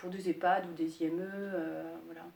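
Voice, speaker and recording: A woman speaks fairly slowly in a fairly low pitch with monotone, flat intonation. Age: 40s. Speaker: landscape gardener. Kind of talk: interview. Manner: hesitant, many filler sounds.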